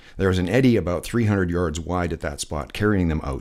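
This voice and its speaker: Vocal fry at a fairly quick pace, on a very clean recording with a silent background. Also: man. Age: 60s. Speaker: lifeguard instructor. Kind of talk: voiceover tutorial. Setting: voiceover recorded separately from pool video.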